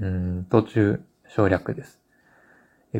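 A man is speaking. His pace is fairly slow. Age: 40s. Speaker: book editor and publisher. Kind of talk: solo podcast monologue. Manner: halting, many filler words.

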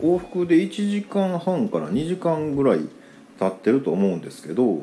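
Here a man speaks with a Kansai accent and a relaxed tone. His pitch runs fairly high. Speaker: podcaster. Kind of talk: casual monologue. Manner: relaxed, filler-heavy.

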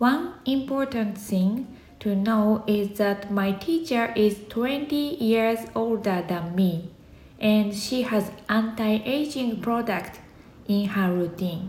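A woman with a Japanese accent speaks very slowly at a fairly high pitch, with ordinary pitch variation and very even loudness, over noticeable background noise. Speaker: podcaster. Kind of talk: scripted monologue.

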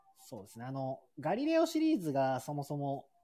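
A man talks at a fairly quick pace. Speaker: shop owner. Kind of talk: casual chat.

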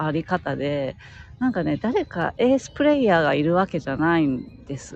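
This woman's voice makes very wide pitch swings, recorded with a dry, close sound and no echo. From France. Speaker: podcaster. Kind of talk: casual chat. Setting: outdoors.

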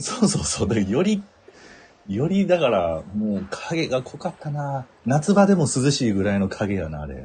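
A man with a Kansai accent speaks at a moderate pace and a medium pitch, his tone dark, mellow and somewhat breathy. His pitch swings very widely and his loudness rises and falls a lot. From Kansai, Japan. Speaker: podcast co-host. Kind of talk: casual comedic chat. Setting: live stream. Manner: animated, laughing often.

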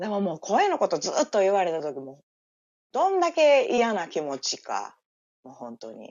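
A woman with a Kansai accent talks at a moderate pace, her loudness swinging widely. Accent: Kansai dialect Japanese. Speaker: livestream guest. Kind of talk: casual chat. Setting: live audio-app stream, remote.

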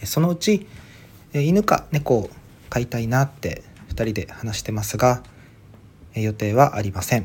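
The speaker has a slight Okinawan accent and a somewhat breathy voice with lively intonation. The pace is moderate, broken by long, frequent pauses. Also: man, medium pitch for a man. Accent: slight Okinawan accent, by his own account. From Okinawa, Ishigaki Island. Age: 30s. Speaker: podcaster. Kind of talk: solo monologue podcast. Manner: halting, many fillers.

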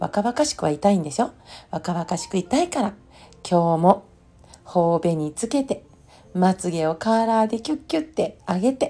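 Her dark, mellow tone carries very wide pitch swings as this woman speaks. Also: medium pitch for a woman, moderate pace. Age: 50s. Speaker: podcast host, former nurse and homeopath. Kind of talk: solo monologue podcast. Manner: relaxed, reflective.

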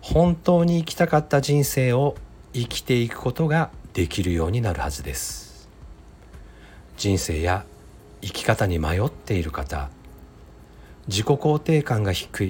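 The speaker moves at a fairly slow pace, leaving long, frequent pauses. Pitch swings very widely while music plays in the background. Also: man, medium pitch for a man. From Mie Prefecture, Japan (Ise). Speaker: podcaster and psychological counselor. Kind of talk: solo podcast monologue. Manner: polite, formal.

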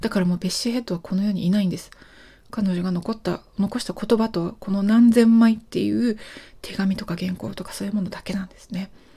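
A woman talks at a fairly quick pace and medium pitch, her dark, mellow tone somewhat breathy, her intonation fairly even, and her loudness swinging widely. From Japan. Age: 40s. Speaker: podcast host. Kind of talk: solo monologue.

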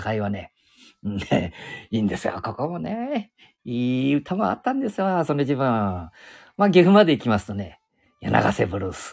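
A man's pitch swings very widely as he speaks at a moderate pace. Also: medium pitch for a man. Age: 70s. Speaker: podcaster. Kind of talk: casual monologue. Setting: outdoors. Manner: rambling, halting with fillers.

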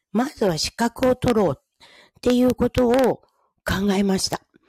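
On a very clean recording with a silent background and a dry, close sound with no echo, a woman with a fairly high pitch and a dark, mellow tone speaks at a fairly slow pace. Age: 50s. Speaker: podcaster and hair-makeup artist. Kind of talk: casual solo talk.

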